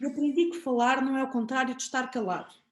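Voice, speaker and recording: A woman with a high pitch speaks at a moderate pace, her pitch varying in an ordinary way. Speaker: podcast host. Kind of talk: poetry reading.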